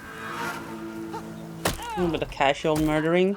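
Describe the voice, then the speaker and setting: With music in the background and audible room echo, a woman talks at a very slow pace. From Sweden, Finnish parents. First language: Swedish and Finnish. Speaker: gaming streamer. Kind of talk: let's play commentary. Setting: live stream.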